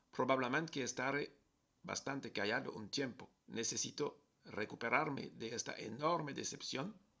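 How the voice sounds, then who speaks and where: At a moderate pace, a man with a French accent speaks at a medium pitch with a bright, sharp tone and ordinary pitch variation. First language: French (speaking Spanish). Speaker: travel vlogger. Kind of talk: personal video message.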